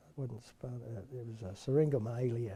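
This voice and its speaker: A man speaks at a moderate pace in a medium pitch, his tone dark and mellow and somewhat breathy. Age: 70s. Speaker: retired OB-GYN doctor. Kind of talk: oral history interview. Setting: recorded interview with mic pack. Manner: halting, many fillers.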